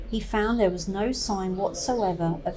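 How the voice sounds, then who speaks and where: Over noticeable background noise, a woman with an East Anglian accent and medium pitch speaks at a fairly slow pace. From East Anglia, England. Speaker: folklore presenter. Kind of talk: documentary narration to camera.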